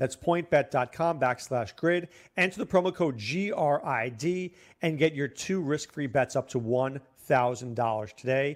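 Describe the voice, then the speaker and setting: Recorded very cleanly over a silent background, a man with a normal speaking voice talks at a fairly high pitch with ordinary pitch variation. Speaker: fantasy football analyst, co-host. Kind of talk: casual sports talk.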